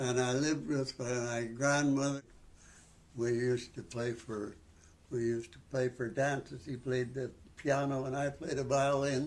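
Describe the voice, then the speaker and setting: A man talks in a western Canadian accent at a medium pitch. His pace is fairly slow and his intonation fairly even. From Canadian prairies. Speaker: senior sharing life story. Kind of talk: interview. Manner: halting.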